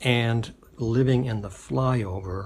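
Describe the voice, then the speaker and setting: A man speaks with a somewhat breathy sound. The rise and fall of his voice is fairly even. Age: 60s. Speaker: political testimonial speaker. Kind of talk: personal testimony. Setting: self-recorded video. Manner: halting, many fillers.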